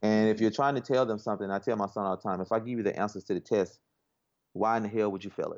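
This man speaks at a very fast pace, his pitch fairly low and his intonation fairly even. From Arkansas. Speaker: barber and tech entrepreneur. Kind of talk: interview.

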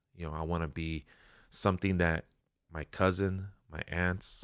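A man with a Spanish accent speaks at a very deep, low pitch and a fairly slow pace, his intonation monotone and flat. The recording is very clean, with a silent background. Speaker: life insurance agent and financial educator. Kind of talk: casual interview conversation. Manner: casual, rambling.

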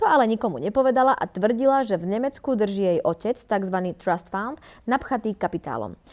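A woman with a plain, everyday voice speaks at a moderate pace, her pitch fairly high. Her pitch varies in an ordinary way against a quiet background. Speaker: podcast co-host. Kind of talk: reading aloud; casual chat.

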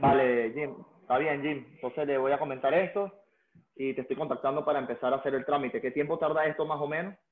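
A man with a Venezuelan accent, fairly high in pitch, talking at a very fast pace with fairly even intonation. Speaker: business owner. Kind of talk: client consultation call.

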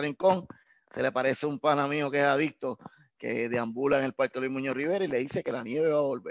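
A man talks at a moderate pace in a plain, everyday voice, fairly high in pitch. The sound is dry and close, with no echo. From Puerto Rico, San Juan. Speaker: street poet and reggaeton artist. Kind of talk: interview and poetry reading.

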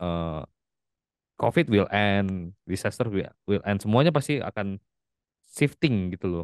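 At a fairly slow pace, a man with a fairly low pitch speaks with lively intonation in a dry, close sound with no echo against a quiet background. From Palembang, South Sumatra, Indonesia. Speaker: IT worker and TikTok content creator. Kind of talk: casual interview chat.

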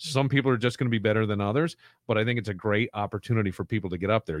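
A man talks at a very fast pace in a medium pitch, with a dry, close sound free of echo and a quiet background. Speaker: podcast host and contest emcee. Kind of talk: casual chat. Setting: studio.

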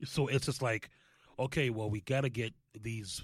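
Somewhat breathy, a man with an American accent speaks at a medium pitch with ordinary pitch variation. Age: 30s. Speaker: sports podcast host. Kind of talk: casual chat. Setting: studio.

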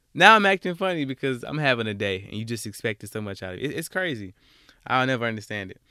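In a very clean recording with a silent background, a man with an Alabama accent talks very fast at a medium pitch, his tone bright, sharp and animated, with very wide pitch swings and big swings in loudness. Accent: Southern US (Alabama). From US South, Alabama. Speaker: podcast host. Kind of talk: casual monologue. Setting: home closet recording.

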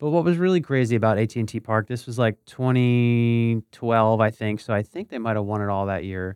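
Using a normal speaking voice, a man with an American accent talks at a fairly quick pace, with medium pitch and ordinary pitch variation. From eastern Pennsylvania, Bethlehem. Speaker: podcast host. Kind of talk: casual chat.

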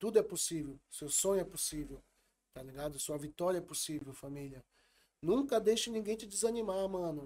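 With a high pitch and a dark, mellow tone, a man speaks at a moderate pace. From São Paulo south zone. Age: 40s. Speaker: rapper and event organizer. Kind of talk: casual interview.

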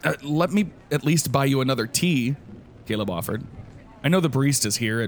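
The text is read aloud plainly.

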